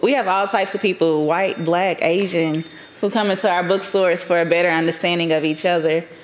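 Moderately paced speech with fairly even intonation against noticeable background noise. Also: woman. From Dallas, Texas (Oak Cliff) and Atlanta, Georgia. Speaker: entrepreneur in cannabis and bookstore business. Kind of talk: casual interview chat.

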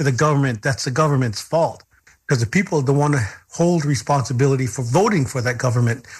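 Over a silent background in a very clean recording, a man speaks very fast with a fairly high pitch, ordinary pitch variation and a somewhat breathy sound. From Lakota. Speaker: radio host. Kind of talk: interview.

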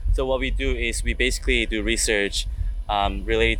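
A man with a Korean accent, with audible room echo and noticeable background noise. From South Korea. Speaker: engineering graduate student. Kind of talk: interview. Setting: conference venue. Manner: hesitant, many fillers.

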